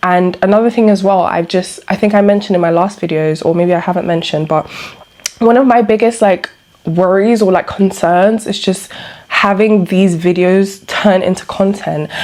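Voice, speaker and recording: A woman speaks at a medium pitch with fairly even intonation and very even loudness, over noticeable background noise. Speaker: vlogger. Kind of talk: casual personal vlog monologue. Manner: fast; hesitant, many fillers.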